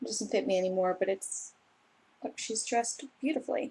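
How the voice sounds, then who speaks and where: A woman's voice with vocal fry and an American accent. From Los Angeles, US West Coast. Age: 20s. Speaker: booktuber. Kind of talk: casual vlog monologue. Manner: animated.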